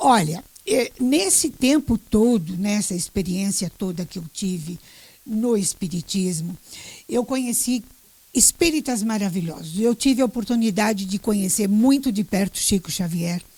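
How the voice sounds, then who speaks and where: A woman's somewhat breathy voice, medium in pitch and dark and mellow in tone, fairly slow with lively intonation. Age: 70s. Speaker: retired journalist and teacher. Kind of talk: interview. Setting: radio.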